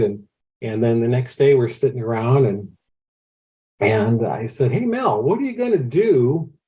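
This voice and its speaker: Somewhat breathy, a man talks at a moderate pace with lively intonation. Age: 60s. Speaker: amateur astronomer, telescope builder. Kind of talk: podcast interview, casual storytelling. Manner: hesitant, repeats words often.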